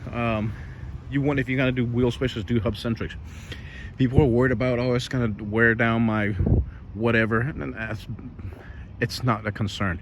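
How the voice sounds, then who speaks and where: Speaking at a moderate pace with long, frequent pauses, a man keeps a medium pitch and fairly even intonation. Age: 40s. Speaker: car enthusiast vlogger. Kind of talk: casual tutorial. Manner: casual, rambling with fillers.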